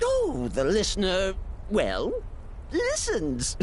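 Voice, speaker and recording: A put-on character voice with a theatrical tone moves at a very slow pace. Clear background noise sits behind it. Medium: video game. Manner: giggly, theatrical, sing-song.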